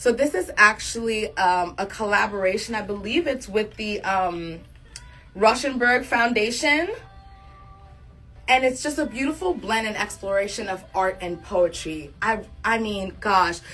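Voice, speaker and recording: A woman at a fairly high pitch with an animated tone, lively intonation, big swings in loudness and a fairly slow pace, with music in the background. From Africa. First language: an African language, not English. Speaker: fashion stylist and livestream host. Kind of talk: live fashion styling stream.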